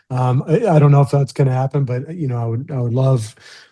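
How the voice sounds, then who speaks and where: Somewhat breathy, a man talks at a fairly quick pace with a dark, mellow tone. His medium pitch moves with ordinary variation. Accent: Midwestern American. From US Midwest (rural Missouri). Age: 50s. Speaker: professional golfer. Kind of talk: interview. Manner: halting, many fillers.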